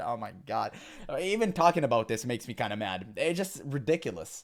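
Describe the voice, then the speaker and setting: Vocal fry runs through this man's voice. He speaks at a moderate pace with very wide pitch swings. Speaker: gaming commentator. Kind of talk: reaction commentary. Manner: animated.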